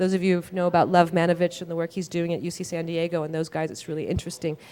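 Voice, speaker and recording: Very fast and monotone, a woman speaks with flat intonation in a dark, mellow tone at a fairly low pitch. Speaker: data visualization researcher. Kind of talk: conference talk. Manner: halting, many fillers and restarts.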